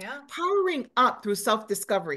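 A woman's pitch swings very widely as she speaks in an animated tone. The background is quiet. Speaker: motivational speaker. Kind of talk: interview.

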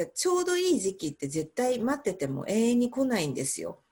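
A woman speaks in a somewhat breathy voice. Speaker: English pronunciation coach. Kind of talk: interview.

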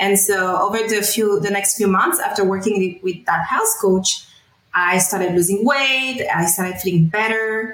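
A woman talks at medium pitch with a French accent. Her pace is moderate and her pitch variation ordinary. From France, then Middle East from age 12. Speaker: wellness coach. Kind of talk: interview testimony.

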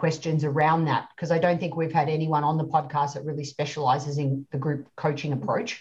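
A woman speaks with very deep, low pitch and a somewhat breathy voice. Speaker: podcast host. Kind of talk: interview.

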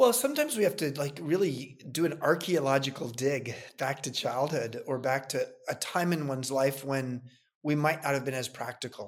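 A man with an American accent and an unremarkable speaking voice, fairly high in pitch, with ordinary pitch variation at a moderate pace. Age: 60s. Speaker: entrepreneur. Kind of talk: interview.

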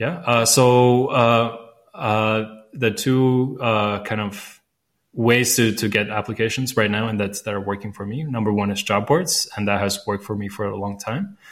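With a Latvian accent, a man speaks at a medium pitch and a moderate pace. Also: fairly even intonation. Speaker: recruiter and founder. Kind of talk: casual interview chat. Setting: remote call from Budapest.

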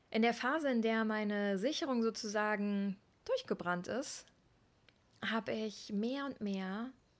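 In a very clean recording with a silent background, a woman at medium pitch speaks fairly slowly in an animated tone with ordinary pitch variation. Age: 30s. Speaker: podcast host, yoga teacher. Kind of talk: solo monologue podcast. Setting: outdoors on Pacific coast.

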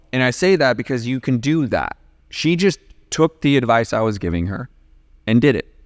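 A man with an American accent speaks in a medium pitch at a moderate pace, his tone animated and his intonation lively, with long, frequent pauses. The sound is dry and close with no echo, on a very clean recording with a silent background. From California. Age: 40s. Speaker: real estate investor and coach. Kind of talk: casual interview.

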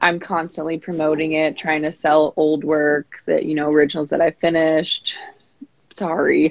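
Dry and close with no echo, a woman with an American accent speaks at a moderate pace in a very deep, low pitch with monotone, flat intonation. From US West Coast, San Diego. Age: 20s. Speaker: painter. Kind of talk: casual interview.

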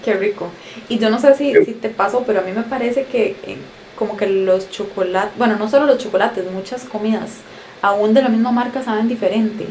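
Noticeable background noise accompanies a woman whose fairly high voice runs at a fairly quick pace. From Costa Rica. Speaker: podcast host, travel deals site co-founder. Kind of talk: casual interview.

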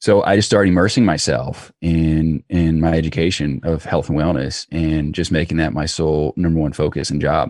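In an American accent, a man with a very deep, low pitch talks at a moderate pace with fairly even intonation and hardly any pauses. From US South, Georgia. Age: 20s. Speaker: entrepreneur. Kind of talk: interview.

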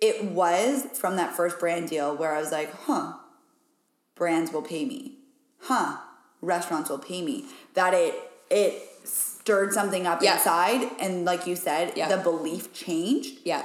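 Speaking with an American accent, a woman with a fairly low-pitched voice uses lively intonation at a fairly slow pace, with audible room echo. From Wyoming, US. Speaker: business coach and podcaster. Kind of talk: casual chat. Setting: rural ranch house.

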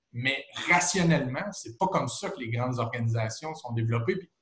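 Somewhat breathy, a man talks at a fairly quick pace. His pitch is medium. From Quebec, Trois-Rivières region. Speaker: sports TV host and former football player. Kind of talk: casual interview. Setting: video call.

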